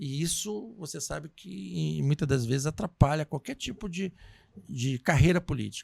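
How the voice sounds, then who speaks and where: A man's fairly high voice is somewhat breathy, with very wide pitch swings. The sound is dry and close, with no echo. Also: moderate pace, big swings in loudness. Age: 50s. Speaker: podcast host. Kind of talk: interview.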